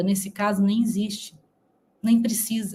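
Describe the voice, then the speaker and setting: A woman talks at a moderate pace in an ordinary speaking voice, her pitch fairly high. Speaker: news commentary youtuber. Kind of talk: online commentary.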